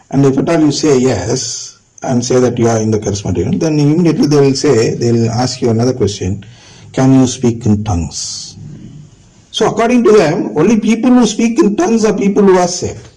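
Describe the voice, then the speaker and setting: There is audible room echo as a man talks at a fairly quick pace. His pitch swings very widely. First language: not English. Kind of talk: lecture. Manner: halting.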